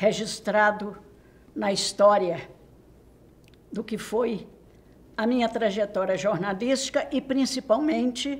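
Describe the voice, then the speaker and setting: Very slowly and with long, frequent pauses, a woman speaks at a fairly high pitch with ordinary pitch variation. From Minas Gerais, Brazil (Santo Antônio do Monte). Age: 80s+. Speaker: retired journalist. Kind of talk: oral history interview. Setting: university studio. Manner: formal.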